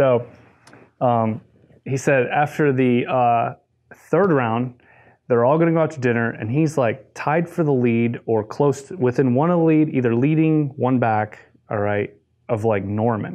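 A man with an American accent speaks at a fairly slow pace in a normal speaking voice, his medium pitch showing ordinary variation. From US Midwest, Detroit, Michigan. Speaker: golf coach. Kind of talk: casual interview chat.

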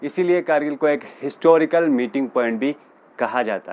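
A man speaks at a fairly slow pace with ordinary pitch variation. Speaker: travel vlogger. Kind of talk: informational vlog talk.

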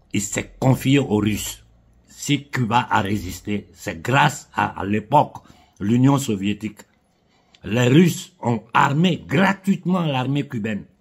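A man talks at a very slow pace in a somewhat breathy voice with very wide pitch swings. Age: 50s. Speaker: political commentator. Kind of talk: political monologue. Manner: impassioned. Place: home room. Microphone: phone near.

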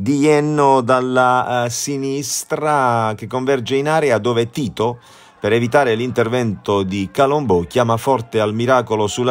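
With music playing in the background, a man talks at a moderate pace, his pitch medium with ordinary variation. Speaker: sports commentator. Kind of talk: live-style football match commentary over highlights footage, voiced-over. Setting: voice-over recorded for highlights video. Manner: partisan and animated, dramatic on goals, critical of Foggia's performance.

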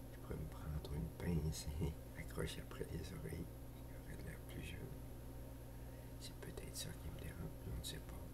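A man speaks with long, frequent pauses. Loud background noise runs behind him. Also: moderate pace. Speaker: storyteller vlogger. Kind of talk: ASMR whispered role-play monologue to camera. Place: home room. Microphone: webcam.

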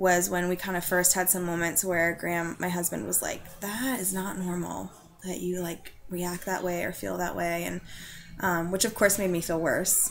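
Faint music plays behind a woman whose fairly low voice moves at a moderate pace with fairly even intonation. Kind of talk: personal testimony, casual conversational. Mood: reflective, candid, serious topic. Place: home room. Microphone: webcam.

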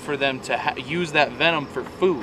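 A man talks with ordinary pitch variation. The sound is dry with no echo, with light background noise. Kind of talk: casual vlog chat. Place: open country.

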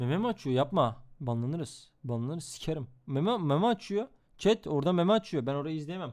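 A man talks at a fairly quick pace in an animated tone. His intonation is lively. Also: fairly high pitch for a man. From Istanbul, Turkey. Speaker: streamer. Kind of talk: reaction stream commentary.

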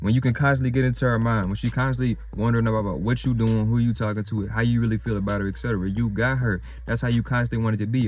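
Very fast male speech with fairly even intonation, dry with no echo, faint music in the background. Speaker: dating advice vlogger. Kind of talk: casual vlog chat. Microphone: phone near.

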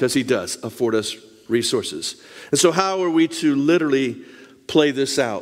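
A man at a fairly high pitch, with ordinary pitch variation and a moderate pace. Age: 60s. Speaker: missionary and lay preacher; lay preacher. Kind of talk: Bible study talk with show-and-tell. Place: church.

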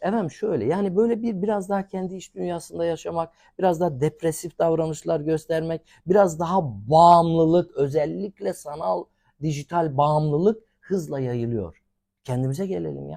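In a very clean recording with a silent background, a man speaks at a fairly high pitch in a dark, mellow tone. His pace is moderate, and his pitch variation is ordinary. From Turkey, rural village. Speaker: academic and expert. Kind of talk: TV interview.

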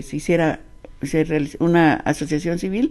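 A woman speaks with fairly even intonation and a dark, mellow tone. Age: 80s+. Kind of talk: interview answer. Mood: earnest, reflective. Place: home room. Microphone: handheld.

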